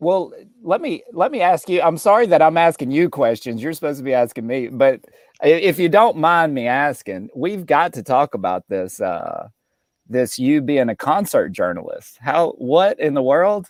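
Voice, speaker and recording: A fairly high-pitched man in a Southern accent, at a moderate pace with very wide pitch swings, in a very clean recording with a silent background. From Mississippi, US South. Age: 30s. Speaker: stand-up comedian. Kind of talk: casual interview chat.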